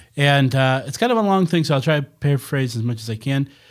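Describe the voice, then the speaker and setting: An ordinary speaking voice from a man at a fairly high pitch, fairly quick in pace with lively intonation, on a very clean recording with a silent background. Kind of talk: casual banter. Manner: joking.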